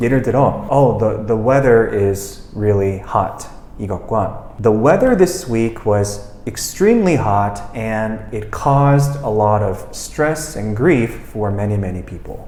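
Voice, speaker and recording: A man with an English accent speaks at a very slow pace and medium pitch, with ordinary pitch variation. Noticeable background noise and audible room echo fill the recording. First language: English (speaking Korean). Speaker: English teacher, language school head. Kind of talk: interview conversation.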